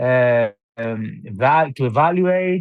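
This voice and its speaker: This is a man's voice. His intonation is lively. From southern Albania, Greek-speaking minority (Himara). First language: Greek. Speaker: novelist. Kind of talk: interview. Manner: halting, many fillers and restarts.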